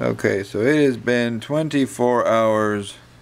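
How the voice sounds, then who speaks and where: Very slow pace from a man, amid noticeable background noise. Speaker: knife hobbyist video host. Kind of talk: casual video update. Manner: hesitant, many fillers.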